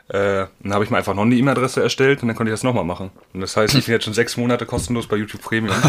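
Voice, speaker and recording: A man talks at a very fast pace. His voice sits at a medium pitch. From northern Germany. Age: young. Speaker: trainee. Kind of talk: casual chat.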